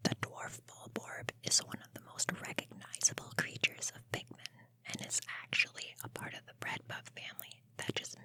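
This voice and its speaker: A whisper moves at a moderate pace over noticeable background noise. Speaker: gaming content creator. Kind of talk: whispered ASMR-style video game summary narration; casual friendly address to the audience. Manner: whispered, soft.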